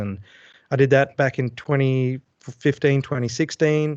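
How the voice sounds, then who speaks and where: A man with an Australian accent speaks at medium pitch against a quiet background. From Australia (Brisbane). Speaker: fisheries scientist and professor. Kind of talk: presentation to a club meeting. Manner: hesitant, many fillers.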